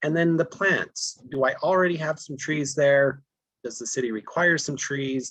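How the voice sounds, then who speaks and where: A man's fairly high voice shows ordinary pitch variation. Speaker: gardening class instructor. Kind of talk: lecture. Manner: fast.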